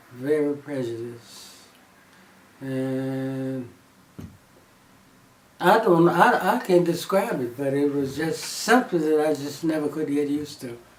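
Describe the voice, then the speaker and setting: Over noticeable background noise, a man with an American accent speaks at a very slow pace in a fairly high pitch. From Texas. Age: 80s+. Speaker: former gas station owner. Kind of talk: interview answer.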